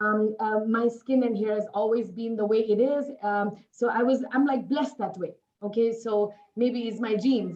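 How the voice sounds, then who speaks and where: With a Nepali accent and a dark, mellow tone, a woman speaks at a fairly high pitch, a moderate pace and fairly even intonation. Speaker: network marketing distributor. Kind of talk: interview.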